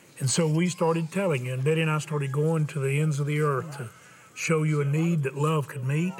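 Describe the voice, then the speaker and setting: Over noticeable background noise, a man talks at a fairly quick pace with a fairly high pitch and fairly even intonation. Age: 70s. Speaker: televangelist host. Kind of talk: fundraising appeal. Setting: tv studio.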